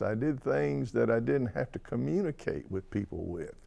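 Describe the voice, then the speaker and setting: With a Tennessee accent, a man speaks at a medium pitch in a dark, mellow tone. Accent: Southern US (Tennessee). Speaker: person who stutters. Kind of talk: interview testimony. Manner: stutter.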